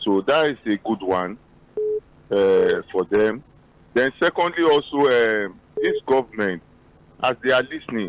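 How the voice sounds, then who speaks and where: Speaking at medium pitch, a man uses lively intonation with long, frequent pauses. The sound is dry and close with no echo, and background noise is noticeable. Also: fairly slow pace. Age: 50s. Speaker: pastor, radio caller. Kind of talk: phone-in opinion. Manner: animated.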